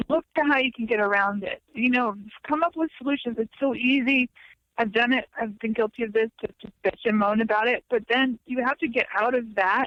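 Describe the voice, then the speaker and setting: Squeaky and high in pitch, a woman talks at a fairly quick pace with ordinary pitch variation. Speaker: songwriter. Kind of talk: podcast interview. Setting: phone call. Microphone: phone line with delay.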